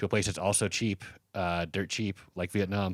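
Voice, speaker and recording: A man's fairly low, unremarkable speaking voice with an American accent, fairly quick and with fairly even intonation, in a very clean, dry, close recording with no echo and a silent background. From Colorado, US. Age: 40s. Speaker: comedian. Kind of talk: casual chat.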